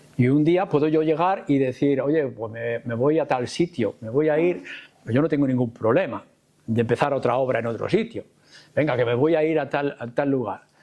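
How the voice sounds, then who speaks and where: This man speaks at a moderate pace with a medium pitch and ordinary pitch variation. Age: 60s. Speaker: pastor. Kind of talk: panel talk at a church conference. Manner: halting.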